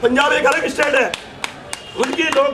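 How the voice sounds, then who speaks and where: A man speaks at a moderate pace. Audible room echo and noticeable background noise are present. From Garhwal, Uttarakhand. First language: Garhwali (speaking Hindi). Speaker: activist rally leader, film director. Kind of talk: political rally speech. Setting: outdoor rally. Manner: loud.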